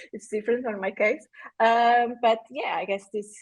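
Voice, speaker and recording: This woman talks in a flat, monotone way. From Portugal. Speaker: frontend developer. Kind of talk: casual chat. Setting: livestream video call. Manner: halting.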